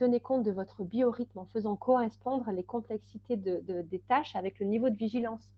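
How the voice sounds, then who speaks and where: A woman's fairly high voice with fairly even intonation at a moderate pace. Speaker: time management consultant and trainer. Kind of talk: webinar presentation. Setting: online webinar. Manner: hesitant, many fillers.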